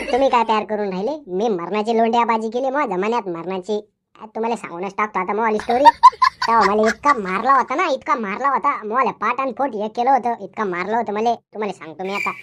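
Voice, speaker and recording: Using a cartoonish character voice, a woman talks at a fairly high pitch and moderate pace with ordinary pitch variation. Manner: rambling, boastful, mishearing.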